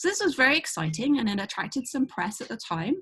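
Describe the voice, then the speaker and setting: A woman with a British accent. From UK. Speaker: astronomy professor. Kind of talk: educational talk. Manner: hesitant, many fillers.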